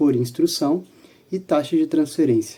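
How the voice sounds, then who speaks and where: Pitched fairly high, a man speaks in a dark, mellow tone with fairly even intonation. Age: 20s. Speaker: student presenter. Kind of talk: student presentation.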